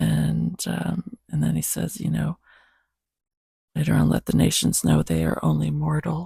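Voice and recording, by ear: A woman speaks at a low pitch and a fairly slow pace, with a dark, mellow tone, a husky, rough edge and vocal fry. Her intonation is monotone and flat, and the sound is dry and close with no echo.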